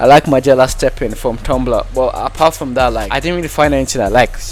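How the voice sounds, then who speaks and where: A man's voice with music in the background. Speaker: gaming and music commentary streamer. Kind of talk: casual talk to camera. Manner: casual, slangy.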